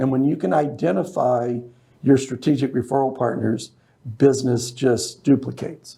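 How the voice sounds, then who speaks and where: A man's dark, mellow, somewhat breathy voice of medium pitch, with an American accent, fairly even intonation and a moderate pace. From Las Vegas, US. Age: 60s. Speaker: business networking organizer. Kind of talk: interview. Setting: studio.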